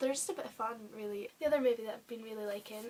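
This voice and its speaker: Here a woman speaks at a fairly high pitch. Noticeable background noise accompanies her. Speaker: YouTuber. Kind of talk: casual vlog. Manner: hesitant; soft-spoken.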